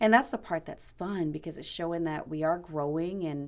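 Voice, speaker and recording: A woman with an American accent has a plain, everyday voice and ordinary pitch variation. The recording is very clean, with a silent background. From South Carolina. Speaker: winery owner. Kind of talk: interview.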